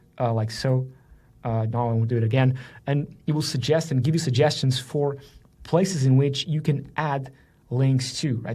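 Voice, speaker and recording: Somewhat breathy, a man speaks at a medium pitch in a dark, mellow tone. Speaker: software marketer demoing a tool. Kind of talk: screen-share tutorial. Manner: fast; casual, with filler words.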